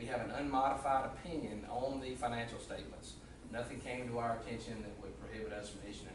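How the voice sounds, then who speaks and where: A man talks at a very fast pace and medium pitch. Noticeable background noise and room echo come through. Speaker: auditor. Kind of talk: presentation at a public meeting. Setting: county commission meeting room. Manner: loud.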